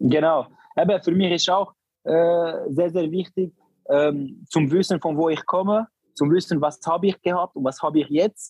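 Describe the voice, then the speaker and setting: The speech moves at a moderate pace with very even loudness and fairly even intonation, recorded dry and close with no echo. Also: man, high pitch for a man. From Barcelona, Spain. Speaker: professional footballer. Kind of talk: casual interview. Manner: halting.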